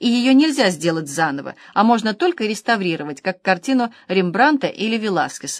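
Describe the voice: The intonation rises and falls in a lively way. The delivery is plain reading aloud.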